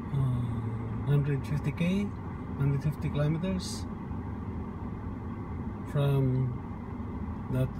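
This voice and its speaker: Over loud background noise, a man speaks at a very slow pace, the sound dry with no echo. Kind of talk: casual travel commentary. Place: car. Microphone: phone near.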